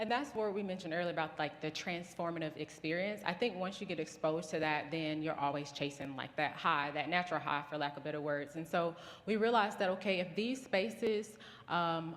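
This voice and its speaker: A woman talking at a fairly quick pace, with ordinary pitch variation and audible room echo. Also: fairly low pitch for a woman. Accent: Southern US. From US South. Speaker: business founder. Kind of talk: conference talk.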